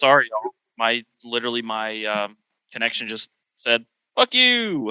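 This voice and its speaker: A loud man's voice at medium pitch and moderate pace, bright and sharp in tone, with monotone, flat intonation and a dry, close sound with no echo. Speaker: podcast host. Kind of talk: casual chat. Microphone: bad connection, dropped out.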